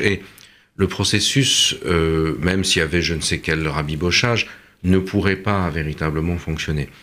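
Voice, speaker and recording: The man's very deep, low voice moves with ordinary pitch variation. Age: 60s. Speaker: political scientist and author. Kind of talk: radio discussion.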